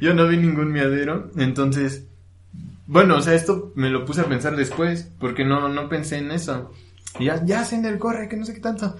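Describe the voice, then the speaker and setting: Fairly high-pitched man with a central Mexican accent, lively intonation and a moderate pace, audible room echo around him. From Mexico, Hidalgo (Actopan). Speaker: podcaster. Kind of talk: casual chat. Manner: halting.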